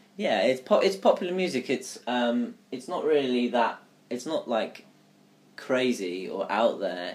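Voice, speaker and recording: Speaking at a moderate pace with lively intonation, a man has a southern English accent. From southern England, Surrey. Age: 20s. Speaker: recent graduate. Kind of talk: casual chat.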